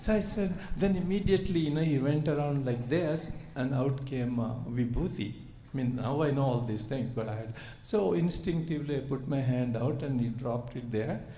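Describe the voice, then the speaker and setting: A man's medium-pitched voice with lively intonation at a moderate pace, in audible room echo. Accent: Telugu. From India. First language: Telugu. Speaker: surgeon and spiritual speaker. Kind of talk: spiritual talk to audience. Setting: retreat hall with audience. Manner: hesitant with many fillers.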